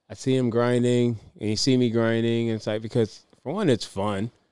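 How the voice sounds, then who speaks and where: An unremarkable speaking voice from a man, medium-pitched, at a moderate pace with fairly even intonation. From US, military family (moved around). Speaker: podcast co-host. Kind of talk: casual chat. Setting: outdoors on a driveway.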